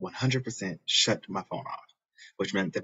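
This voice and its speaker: A man talks with ordinary pitch variation while the background stays quiet. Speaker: video blogger reacting to a clip. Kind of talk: reaction video, casual personal talk. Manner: emotional, sincere, reflective. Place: studio. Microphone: phone near.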